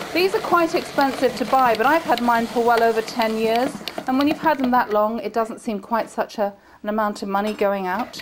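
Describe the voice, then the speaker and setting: Over noticeable background noise, a woman with an English accent talks at a fairly quick pace, with a fairly high pitch and ordinary pitch variation. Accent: very English. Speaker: TV chef and cooking teacher. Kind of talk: cooking tutorial. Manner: chatty.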